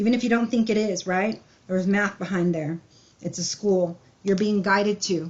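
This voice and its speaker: A woman talks at a moderate pace with a medium pitch. Her voice is somewhat breathy and her intonation fairly even. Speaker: tarot reader. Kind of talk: tarot reading.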